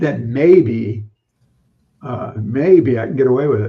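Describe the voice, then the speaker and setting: A somewhat breathy man at a medium pitch, very slow, with ordinary pitch variation. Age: 70s. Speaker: fishkeeping livestream host, retired teacher. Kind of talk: casual chat.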